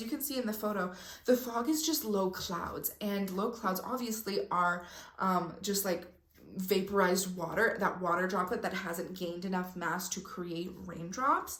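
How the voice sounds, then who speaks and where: A woman with a medium pitch is heard through audible room echo and noticeable background noise. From Mexico. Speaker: spiritual content creator. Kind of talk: casual vlog talk. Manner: energetic.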